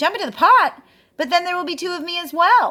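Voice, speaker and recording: Squeaky and extremely high, a woman's put-on character voice rings out raised and projected, with lively intonation. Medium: read story.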